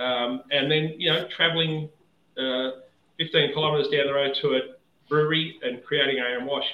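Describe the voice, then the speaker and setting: A man with an Australian accent speaks in a fairly high pitch. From Victoria, Australia. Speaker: whisky distiller. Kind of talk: casual chat.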